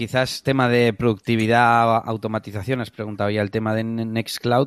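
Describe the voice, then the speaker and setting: In a very clean recording with a silent background, a man speaks at medium pitch. He keeps a moderate pace and monotone, flat intonation. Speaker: podcast co-host. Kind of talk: casual interview.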